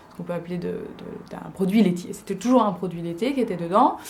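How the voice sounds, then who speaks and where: Fairly quick, fairly even speech from a woman at medium pitch. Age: 20s. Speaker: vlogger. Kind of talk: casual vlog talk. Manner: hesitant, many fillers.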